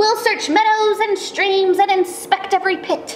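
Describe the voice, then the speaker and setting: A woman uses a put-on character voice, squeaky and extremely high in pitch. Her intonation stays monotone and flat over clear background noise. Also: moderate pace. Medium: read story. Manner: eager, enthusiastic.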